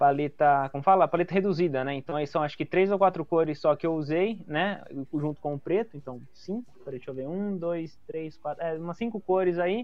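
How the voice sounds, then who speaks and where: A high-pitched man talks at a fairly quick pace with ordinary pitch variation. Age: 20s. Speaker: comedian and illustrator. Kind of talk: casual chat.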